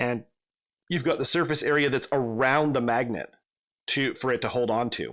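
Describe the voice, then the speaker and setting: Moderate pace and fairly even intonation, broken by long, frequent pauses. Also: man, medium pitch for a man. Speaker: miniatures hobby youtuber. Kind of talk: tutorial. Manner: halting, many fillers.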